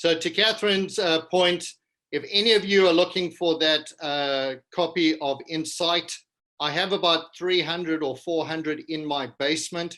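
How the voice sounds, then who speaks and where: Speaking at a moderate pace in a South African accent, a man has a high pitch, fairly even intonation and a bright, sharp tone. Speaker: business culture consultant. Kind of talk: keynote presentation.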